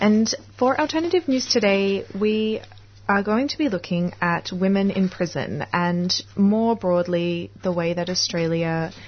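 A woman's somewhat breathy voice with lively intonation at a fairly slow pace. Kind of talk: radio presenter patter. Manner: warm, chatty, upbeat, with small stumbles and laughs.

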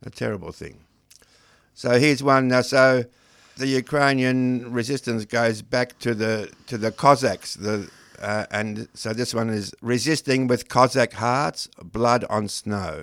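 A man speaks with an Australian accent. His pace is fairly slow and his intonation fairly even. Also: medium pitch for a man. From Australia, Melbourne. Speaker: poet and creative writing teacher. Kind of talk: radio interview. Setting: radio studio. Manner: halting.

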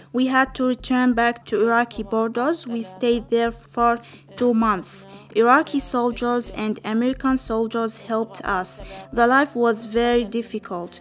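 Over music in the background, a woman with an Arabic accent speaks at a moderate pace in a high pitch with fairly even intonation. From Palestine. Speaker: refugee. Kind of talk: testimony. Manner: halting.

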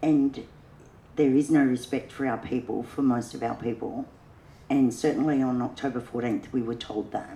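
Her voice very deep and low, a woman speaks at a moderate pace with a dark, mellow tone and monotone, flat intonation. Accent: Australian. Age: old. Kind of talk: panel discussion.

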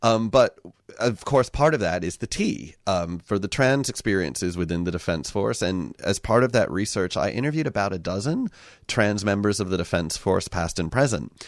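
A man's plain, everyday voice with an American accent, fairly low in pitch, at a moderate pace with lively intonation against a quiet background. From US. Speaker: radio guest. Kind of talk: casual chat. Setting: studio.

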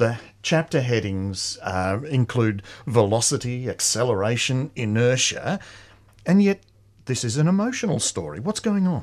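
Speaking with an Australian accent, a man lets his pitch swing very widely. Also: medium pitch for a man, moderate pace. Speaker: community radio book show co-host. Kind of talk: radio interview. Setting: studio.

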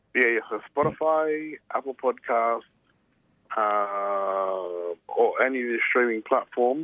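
A man's medium-pitched voice in an Australian accent, fairly slow, with ordinary pitch variation. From Brisbane, Australia. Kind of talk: radio interview.

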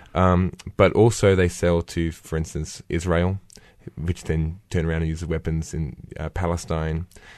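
Very deep, low male voice at a moderate pace, monotone and flat, over a quiet background. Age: 20s. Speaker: student activist. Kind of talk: earnest radio interview. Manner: earnest, halting.

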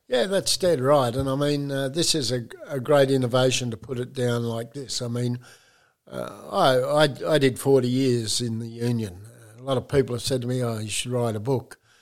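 Fairly even intonation from a man with an Australian accent. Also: medium pitch for a man, moderate pace. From Geraldton, Western Australia. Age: 70s. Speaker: retired union official and building worker.

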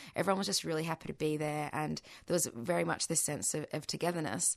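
A woman is speaking. She has an Australian accent. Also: quiet background. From Australia (arrived as a small child, born in Bahrain). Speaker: Palestinian activist. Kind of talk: radio interview. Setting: radio studio.

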